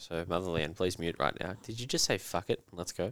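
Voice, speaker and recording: With an Australian accent, a man speaks at a very deep, low pitch. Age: 20s. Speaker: podcast host and coach. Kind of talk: casual chat.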